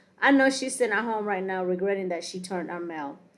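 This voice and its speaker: A woman speaks at medium pitch with ordinary pitch variation in an unremarkable speaking voice. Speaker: reality TV commentary podcaster. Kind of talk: casual commentary monologue.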